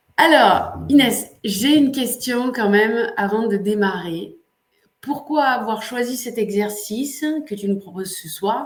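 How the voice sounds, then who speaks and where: A woman with a non-native accent, fairly high in pitch, speaking very slowly amid audible room echo. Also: ordinary pitch variation. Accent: foreign-sounding French accent, noticeable. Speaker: coach and online workshop host. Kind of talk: live webinar hosting. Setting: livestream. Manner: hesitant, many filler sounds.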